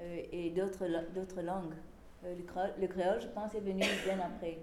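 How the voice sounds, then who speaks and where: Amid noticeable background noise and audible room echo, a woman speaks at medium pitch. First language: English (speaking French). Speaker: historian. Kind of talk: lecture. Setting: small venue with live audience. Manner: halting.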